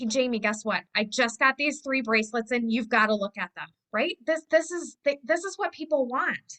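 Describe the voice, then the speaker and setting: A woman with a high-pitched voice and lively intonation speaks with hardly any pauses, the sound dry and close with no echo. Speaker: direct sales team leader. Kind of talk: team meeting talk. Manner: fast; animated.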